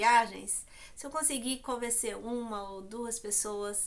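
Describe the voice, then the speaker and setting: Speaking at a very slow pace, a woman has a fairly high pitch. Her tone is bright and sharp. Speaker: YouTuber. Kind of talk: vlog monologue. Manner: hesitant, many fillers.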